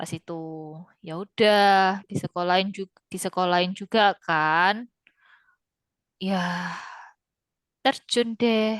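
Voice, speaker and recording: At a very slow pace with long, frequent pauses, a woman of medium pitch speaks with big swings in loudness, in a dry, close sound with no echo against a quiet background. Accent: strong Javanese. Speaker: Mandarin language teacher. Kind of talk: online class chat. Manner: casual, with Javanese slang.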